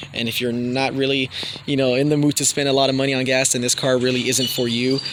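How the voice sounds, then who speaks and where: Against noticeable background noise, a man with a medium-pitched voice talks at a fairly quick pace. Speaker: car YouTuber. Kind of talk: casual vlog talk. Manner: stuttering, many fillers.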